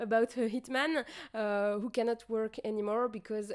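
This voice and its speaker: In a French accent, a woman speaks at a fairly slow pace with a fairly high pitch and fairly even intonation. The recording is very clean, with a silent background. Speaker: streamer. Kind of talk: casual chat. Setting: livestream. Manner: halting.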